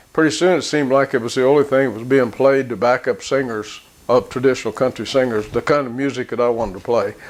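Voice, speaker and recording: A man rattles along at a very fast pace, his intonation fairly even. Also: medium pitch for a man. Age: 80s+. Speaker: steel guitar player and Army veteran. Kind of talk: casual reminiscing talk to camera. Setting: home studio. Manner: halting, with many fillers.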